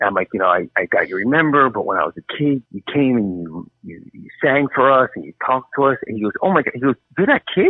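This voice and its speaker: Someone talks at a fairly quick pace with a New Jersey accent. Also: man. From New Jersey, US. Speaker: author. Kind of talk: interview. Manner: animated.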